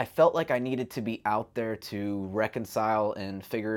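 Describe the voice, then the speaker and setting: This is a normal speaking voice. The pitch stays fairly level throughout. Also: man. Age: 30s. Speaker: long-distance hiker and vlogger. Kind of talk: casual chat.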